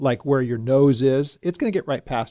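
A man at a medium pitch with a dark, mellow tone, ordinary pitch variation and an American accent, against a quiet background. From California. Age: 50s. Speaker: pastor. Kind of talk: casual studio talk show discussion. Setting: radio studio.

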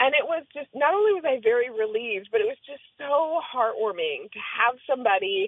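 Her high pitch swinging very widely and her loudness shifting in big swings, a woman talks at a fairly quick pace with hardly any pauses. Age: 40s. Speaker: diversity consultant and doctoral graduate. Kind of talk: telling a personal story in interview.

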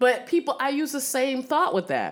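Here a woman talks at a moderate pace.

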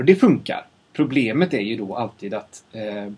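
Somewhat breathy, this man's voice rests at a medium pitch. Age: 30s. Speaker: sound designer. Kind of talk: casual chat. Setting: studio. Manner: halting. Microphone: far from the mic.

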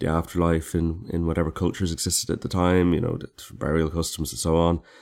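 In an Irish accent, a man speaks with a very deep, low voice. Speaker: podcast co-host. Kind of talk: casual chat. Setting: remote call.

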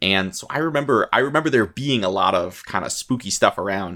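The voice has a bright, sharp tone and a moderate pace. The recording is very clean, with a silent background. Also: man. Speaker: podcast host. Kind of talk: casual banter, playful horror-themed chat. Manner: playful, conversational.

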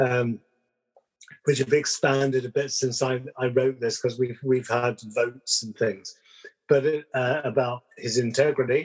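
Somewhat breathy and medium-pitched, a man speaks at a fairly slow pace with monotone, flat intonation. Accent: southern English. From London, England. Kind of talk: casual chat.

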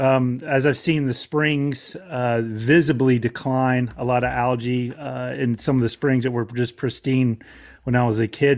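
Moderate pace and fairly even intonation from a man with a normal speaking voice at medium pitch. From Florida. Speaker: outdoor podcaster and conservation advocate. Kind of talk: interview.

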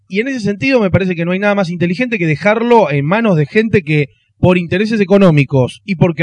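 A man with a Rioplatense accent talks very fast with lively intonation. The sound is dry and close with no echo. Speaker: film commentator. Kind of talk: casual chat.

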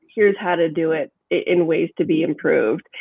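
In a normal speaking voice, a woman talks at a fairly slow pace with medium pitch and ordinary pitch variation. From Kansas. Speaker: assistant professor. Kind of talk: interview.

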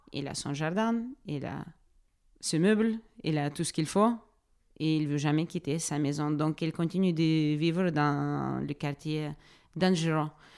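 In a very clean recording with a silent background, a woman with a very deep, low voice speaks at a very slow pace with long, frequent pauses. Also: ordinary pitch variation. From Ukraine, Donetsk. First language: Ukrainian or Russian (speaking French). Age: 30s. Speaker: social worker and refugee helper. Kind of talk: interview testimony. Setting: refugee reception centre. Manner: halting, many hesitations.

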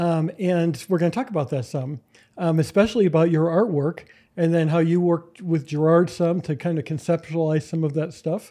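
Against a quiet background, a man with a high-pitched voice and a dark, mellow tone talks at a fairly quick pace with ordinary pitch variation. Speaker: podcast host, historian. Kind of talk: casual chat.

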